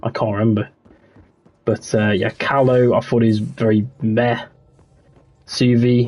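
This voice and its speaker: With music in the background, a man of medium pitch speaks at a fairly slow pace in a monotone, flat voice of very even loudness, leaving long, frequent pauses. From West Midlands, England. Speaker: gaming streamer. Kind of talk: casual livestream chat. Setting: livestream on console.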